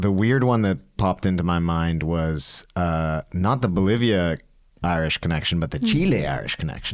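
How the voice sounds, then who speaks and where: A man speaks with a very deep, low pitch. His pace is moderate, with ordinary pitch variation. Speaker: podcast host. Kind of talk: casual podcast conversation.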